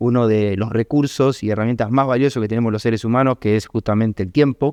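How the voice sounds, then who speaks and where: In a Rioplatense accent, a man at medium pitch talks at a fairly quick pace with fairly even intonation, the sound dry and close with no echo. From Argentina, Buenos Aires. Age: 30s. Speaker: trader and trading educator. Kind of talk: podcast interview.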